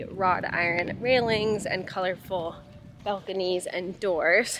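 A woman speaks with music playing in the background. The sound is dry, with no echo. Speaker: travel vlogger. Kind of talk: casual vlog chat. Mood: relaxed, amused. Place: street. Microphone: phone near.

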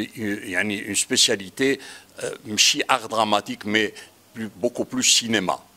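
A man with a bright, sharp tone speaks at a very slow pace, leaving long, frequent pauses, his intonation fairly even. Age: 70s. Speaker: childhood friend of filmmaker. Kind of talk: public talk at film screening. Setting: screening room with audience. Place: hall. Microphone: handheld.

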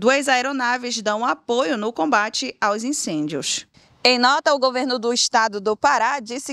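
Recorded very cleanly against a silent background, the voice sounds dry and close with no echo, using lively intonation at a fairly slow pace. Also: woman. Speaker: news presenter. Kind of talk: newsreading, formal broadcast report. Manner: formal, measured, even-paced; neutral, serious tone, clear diction.

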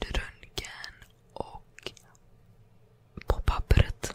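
The voice belongs to a woman, and she is whispering. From Sweden. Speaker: ASMR creator. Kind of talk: ASMR storytime, casual personal anecdotes. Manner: whispered, calming. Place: home room. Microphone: studio mic.

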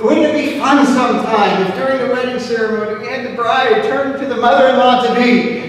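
In a room with strong echo and clear background noise, a man talks at a fairly quick pace with an extremely high pitch and ordinary pitch variation.

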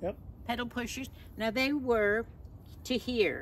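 A woman's voice carries vocal fry. The sound is dry with no echo, over light background noise. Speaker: lifestyle vlogger. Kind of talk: casual vlog chat. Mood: cheerful, animated. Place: garden. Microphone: camera far.

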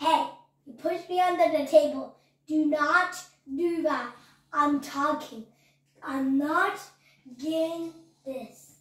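A cartoonish character voice at a high pitch, fairly slow pace, long, frequent pauses and slight echo. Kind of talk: homemade comic puppet play. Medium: puppet show. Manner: whiny, bickering, shouting.

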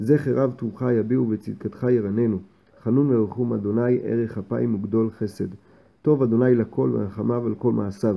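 At a fairly slow pace, a man with a medium pitch and fairly even intonation talks in an ordinary speaking voice. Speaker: man reading prayers aloud for his blind grandfather.

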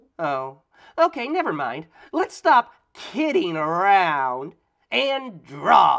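A cartoonish character voice from a man, high pitch, very slow pace. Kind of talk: children's drawing show. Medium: puppet. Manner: playful, joking.

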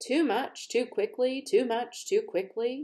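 In a put-on character voice, the speaker sounds wheezy and high, moving at a fairly slow pace with very wide pitch swings. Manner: wheezy, gulping between repeated words.

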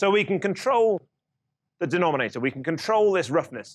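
A man talks, and the background around him is quiet. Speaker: lecturer. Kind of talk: lecture. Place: classroom.

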